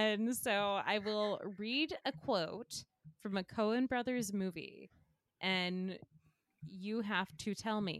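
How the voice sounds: The background stays quiet. The voice reads naturally.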